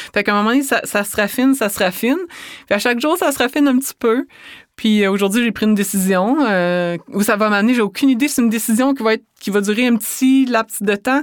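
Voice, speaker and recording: A woman with a Quebec accent and a fairly high pitch. She talks at a very fast pace. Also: ordinary pitch variation, very clean recording, silent background. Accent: Québécois French. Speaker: author and speaker. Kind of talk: interview.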